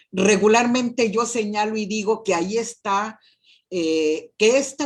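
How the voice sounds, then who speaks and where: Somewhat breathy and fairly high, a woman's voice moves at a very slow pace. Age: 60s. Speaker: university professor and rector candidate. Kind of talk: interview.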